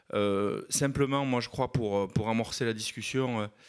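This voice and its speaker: Music plays in the background as a man with a fairly low pitch speaks at a moderate pace. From southwest France, Landes. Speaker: mayor. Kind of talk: panel talk at a conference. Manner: hesitant, many fillers.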